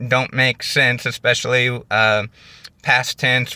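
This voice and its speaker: This man has a Midwestern American accent and a bright, sharp tone at medium pitch. He speaks at a fairly slow pace, and the sound is dry and close with no echo. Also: very clean recording, silent background. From US Midwest. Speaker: YouTuber. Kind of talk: casual vlog monologue. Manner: hesitant, many fillers.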